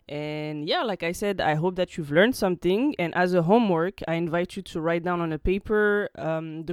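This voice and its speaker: A woman with a French accent talks at a fairly quick pace, with ordinary pitch variation, on a very clean recording with a silent background. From France. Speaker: French language teacher. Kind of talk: tutorial.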